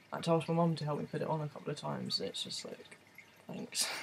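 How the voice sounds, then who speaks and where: A man with a fairly high pitch and an English accent, over noticeable background noise. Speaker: vlogger. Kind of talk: video diary. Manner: casual, hesitant with many ums.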